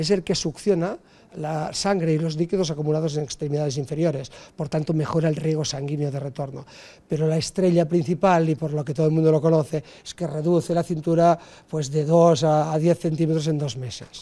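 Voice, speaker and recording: A man speaks with a dark, mellow tone and a fairly high pitch. His intonation is fairly even, and his pace is fairly quick. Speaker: fitness and physiotherapy instructor. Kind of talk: interview. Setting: on location. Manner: explanatory.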